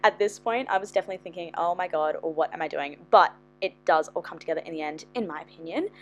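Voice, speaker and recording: Noticeable background noise sits behind the speaker. She is a woman with an Australian accent. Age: 20s. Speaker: journaling YouTuber. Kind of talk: tutorial. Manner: animated.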